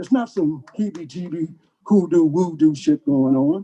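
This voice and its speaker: A man with an American accent speaks at a high pitch with lively intonation and a dark, mellow tone. The sound is dry and close, with no echo. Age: 70s. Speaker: drum ceremony leader. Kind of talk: spoken address to gathering.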